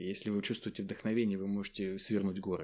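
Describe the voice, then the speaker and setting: The tone is dark and mellow at a fairly quick pace. This is a very clean recording with a silent background. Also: man. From Tatarstan, Naberezhnye Chelny. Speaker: university lecturer. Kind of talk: interview.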